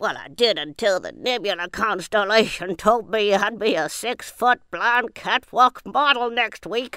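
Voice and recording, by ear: A woman puts on a character voice at a fairly high pitch, with ordinary pitch variation. She speaks at a moderate pace, and the sound is dry and close with no echo.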